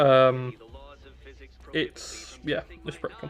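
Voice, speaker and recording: His pitch is in the medium range. The man talks with a British accent. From UK. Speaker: gaming streamer. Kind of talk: casual live-stream chat.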